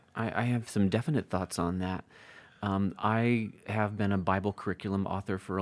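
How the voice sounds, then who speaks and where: At a moderate pace, a man uses an ordinary speaking voice, fairly low in pitch, with fairly even intonation. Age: 40s. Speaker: Bible editor and author. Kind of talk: interview conversation.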